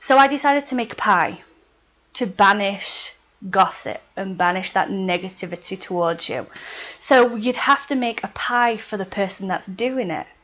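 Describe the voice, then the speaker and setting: The speech has lively intonation and a Yorkshire accent. It moves at a moderate pace. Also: woman, medium pitch for a woman. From Yorkshire, England. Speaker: witchcraft video blogger. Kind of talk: casual video tutorial.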